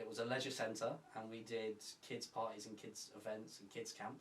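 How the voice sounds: A man talks at a moderate pace with a fairly low pitch and little pitch movement. Audible room echo is present.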